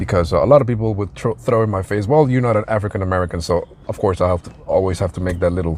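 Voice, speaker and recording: A man with a slight non-native accent, very fast pace and lively intonation. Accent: slight foreign. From outside the US. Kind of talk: casual commentary monologue. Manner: hesitant, many fillers.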